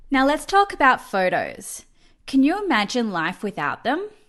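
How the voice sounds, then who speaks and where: An enthusiastic woman with an Australian accent, high-pitched and bright and sharp in tone, with very wide pitch swings at a moderate pace over a quiet background. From Australia, Melbourne. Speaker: professional photo organiser. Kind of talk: online summit presentation.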